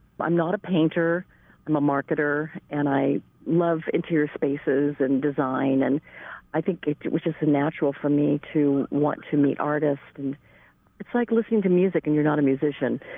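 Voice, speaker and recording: Speaking at a moderate pace, a woman uses fairly even intonation with a very deep, low pitch. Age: 60s. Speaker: gallery owner. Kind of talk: interview.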